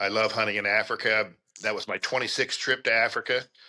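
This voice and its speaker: A man with a fairly low voice talks at a moderate speed. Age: 60s. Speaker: big game hunter. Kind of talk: casual chat.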